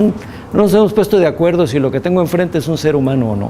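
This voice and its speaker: Very wide pitch swings amid audible room echo and noticeable background noise. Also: man. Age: 60s. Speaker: physician and bioethics lecturer. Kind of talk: lecture with class discussion.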